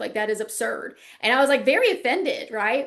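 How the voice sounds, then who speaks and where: A woman with a Southern US accent speaks at a fairly quick pace and high pitch, with audible room echo. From US South, South Carolina. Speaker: lecturer, former lawyer. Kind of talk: online lecture, casual wrap-up chat. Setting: video call class, working from home. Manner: chatty, animated.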